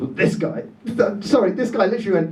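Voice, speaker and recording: A man talks at a moderate pace. Room echo can be heard. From Dorset, England. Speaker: comedian. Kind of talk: stand-up. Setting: stage with audience. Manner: animated.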